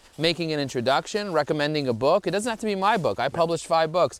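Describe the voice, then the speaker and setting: With a New York accent, a man speaks in an animated tone, his fairly high voice carrying lively intonation. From US Northeast (Borough Park, Brooklyn, New York). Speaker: LinkedIn marketing expert. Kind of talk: casual interview while hiking. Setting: outdoors on a hike.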